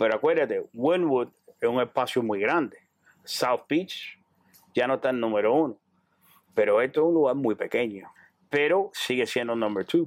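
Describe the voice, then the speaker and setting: With a dry, close sound and no echo, a man at a medium pitch speaks at a fairly slow pace with long, frequent pauses and very even loudness. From Cuba. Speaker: clothing store owner. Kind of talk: interview.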